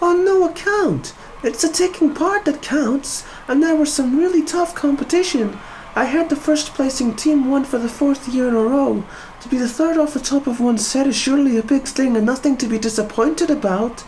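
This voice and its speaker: An upbeat, high-pitched put-on character voice over clear background noise. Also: moderate pace. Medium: read story. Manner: earnest, upbeat.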